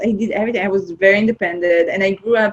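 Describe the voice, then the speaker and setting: A woman with a fairly high pitch speaks with an Israeli accent. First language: Hebrew. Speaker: film producer. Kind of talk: interview. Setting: remote call.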